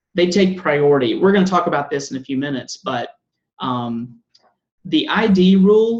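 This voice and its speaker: The speaker talks at a moderate pace in a Southern US accent. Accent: Southern US, self-described. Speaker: coding bootcamp instructor. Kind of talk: lecture. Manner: casual, with fillers.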